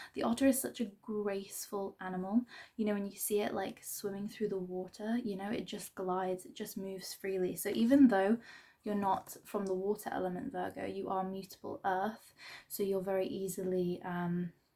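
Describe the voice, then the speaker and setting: Quiet and dark, mellow in tone, a woman speaks at a medium pitch. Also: ordinary pitch variation, moderate pace. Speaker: tarot reader. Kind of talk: tarot reading. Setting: at home. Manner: quiet, subdued; hesitant, filler-heavy.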